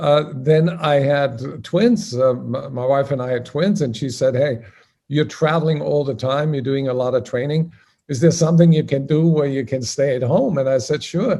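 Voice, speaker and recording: Somewhat breathy and dark, mellow in tone, the voice carries an Austrian accent at a moderate pace with ordinary pitch variation. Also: man, fairly high pitch for a man. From Austria, Salzburg. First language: German. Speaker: sales trainer and magazine founder. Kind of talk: interview.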